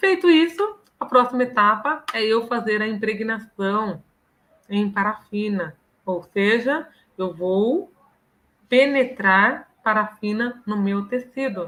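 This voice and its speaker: A woman's fairly high-pitched voice at a very slow pace, with ordinary pitch variation. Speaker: professor. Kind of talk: lecture. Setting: live online stream.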